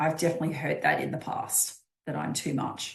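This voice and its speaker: With ordinary pitch variation, a woman speaks with vocal fry. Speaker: life coach for midlife women. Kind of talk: live stream talk. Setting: live stream. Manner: loud.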